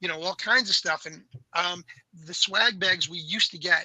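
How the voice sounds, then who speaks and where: A man with an American accent speaks in a raised, projected voice at a high pitch and a moderate pace, the sound dry and close with no echo. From New York, Long Island. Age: 60s. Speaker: toy industry veteran. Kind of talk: casual chat.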